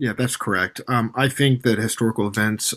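This is an ordinary speaking voice from a man at a medium pitch. He talks at a fairly quick pace with fairly even intonation. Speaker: game publisher guest. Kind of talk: casual interview chat. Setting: video call from Tokyo.

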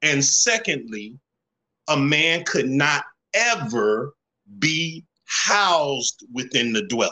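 With a Southern US accent and a bright, sharp tone, a man speaks at a very slow pace with long, frequent pauses, very wide pitch swings and very even loudness. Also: fairly high pitch for a man. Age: 50s. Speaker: plumber and community mentor. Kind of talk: casual chat.

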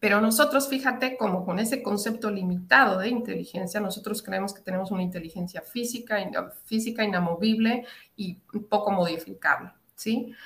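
Speaking fairly quickly in a normal speaking voice at medium pitch, a woman shows big swings in loudness. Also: ordinary pitch variation. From Latin America. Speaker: psychologist and women's mentor. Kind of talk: interview.

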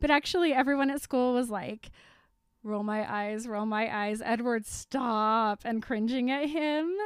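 The speaker has a plain, everyday voice, going at a fairly slow pace on a very clean recording with a silent background. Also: woman, fairly high pitch for a woman, ordinary pitch variation. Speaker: podcast co-host. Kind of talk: casual chat.

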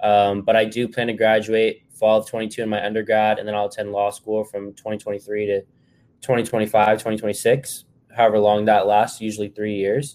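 A man with an American accent speaks at a moderate pace in a fairly low pitch, his intonation flat and monotone. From Texas. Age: 20s. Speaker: college student and aspiring sports agent. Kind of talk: podcast interview.

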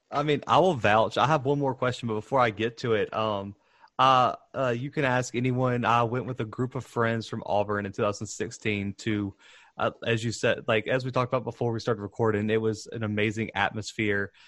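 In a normal speaking voice, a man talks at a moderate pace and medium pitch with fairly even intonation, over a quiet background. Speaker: podcast host. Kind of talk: casual interview.

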